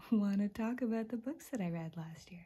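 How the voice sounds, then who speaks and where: Soft-spoken and somewhat breathy, a woman talks with a fairly high pitch, a dark, mellow, relaxed tone and ordinary pitch variation. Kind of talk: casual talk to camera; ASMR book flip-through. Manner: relaxed, cozy.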